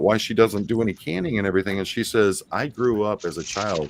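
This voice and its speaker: The speech comes at a very fast pace in an American accent. Pitch variation is ordinary. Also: man. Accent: Appalachian, once thick, toned down. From Ohio, Appalachian Kentucky roots. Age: 50s. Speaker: former police officer, stream host. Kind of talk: casual chat.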